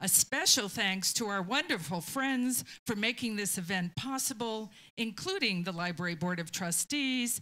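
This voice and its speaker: Her tone is bright and sharp. The woman keeps a moderate pace. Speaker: library staff host. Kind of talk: event introduction. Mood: warm, lightly humorous. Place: meeting room. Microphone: handheld.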